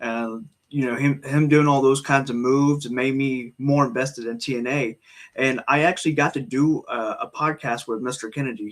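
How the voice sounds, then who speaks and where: With hardly any pauses, a man speaks in a normal speaking voice at medium pitch. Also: fairly even intonation, moderate pace. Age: 20s. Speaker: wrestling podcast host. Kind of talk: casual chat.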